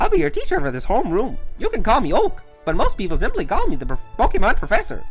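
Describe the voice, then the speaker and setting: A put-on character voice, extremely high-pitched and very fast, over clear background music. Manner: shaky, inconsistent voice.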